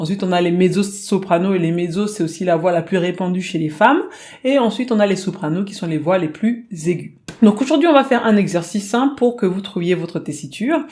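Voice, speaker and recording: A woman talks in a normal speaking voice at a medium pitch. Her pace is fairly quick and her intonation lively. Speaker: singing teacher. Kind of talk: tutorial.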